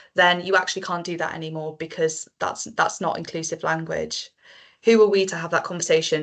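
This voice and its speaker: A woman's fairly low voice in a Welsh accent, fairly quick and monotone with flat intonation. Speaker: marine conservation project manager. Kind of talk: panel discussion.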